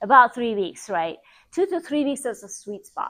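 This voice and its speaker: With a non-native accent and an animated tone, the speaker goes at a moderate pace against a quiet background. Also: woman. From Iran. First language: not English. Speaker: health practitioner. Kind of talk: presentation. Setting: group presentation.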